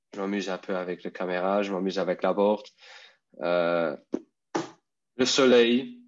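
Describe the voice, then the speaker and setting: A man with a Luxembourgish accent talks at a fairly slow pace with long, frequent pauses, using a fairly low pitch and ordinary pitch variation. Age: 30s. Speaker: electric skateboard rider. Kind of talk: casual interview. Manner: halting.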